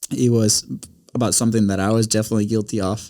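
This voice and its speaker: A man with a Spanish accent talks at a fairly quick pace, his medium-pitched voice carrying a dark, mellow tone. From Venezuela. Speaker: podcast studio owner, content producer. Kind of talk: casual interview.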